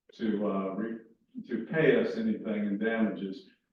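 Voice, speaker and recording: Amid audible room echo, a man speaks at a very slow pace with lively intonation. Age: 60s. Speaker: pastor. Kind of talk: class talk to congregation. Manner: conversational, with hesitations.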